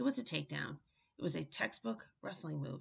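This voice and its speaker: This is a put-on character voice, raspy and low-to-middle in pitch. It moves at a fairly quick pace. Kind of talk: book reading. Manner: through clenched teeth; defensive, irritated.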